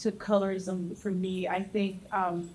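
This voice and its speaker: A woman speaks over noticeable background noise. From Texas. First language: Spanish. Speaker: panelist. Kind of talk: panel discussion.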